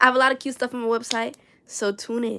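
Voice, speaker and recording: With a New York accent, a woman talks at a fairly quick pace. Her pitch is fairly high. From New York City (Bronx). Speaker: crochet artist and streamer. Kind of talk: casual livestream chat. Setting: livestream at home. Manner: animated, talks with hands; chatty, fast-talking.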